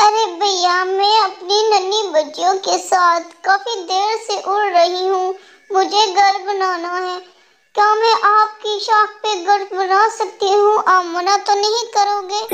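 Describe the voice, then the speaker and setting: A woman does a cartoonish character voice at an extremely high pitch, speaking at a fairly slow pace with a monotone, flat intonation. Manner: soft, polite, motherly.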